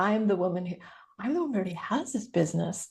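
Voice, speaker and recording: Somewhat breathy, a woman speaks at a fairly quick pace. Her intonation is lively. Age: 60s. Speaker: business coach. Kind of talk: interview conversation. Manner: animated.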